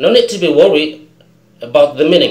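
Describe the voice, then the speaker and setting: Audible room echo surrounds the voice. A man speaks with lively intonation. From Indonesia. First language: Indonesian. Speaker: English teacher. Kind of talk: tutorial.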